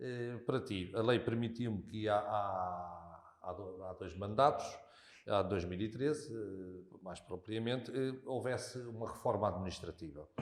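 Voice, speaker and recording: A man speaks fairly slowly at a fairly low pitch, with ordinary pitch variation. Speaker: local politician. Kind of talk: interview conversation. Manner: hesitant, many fillers.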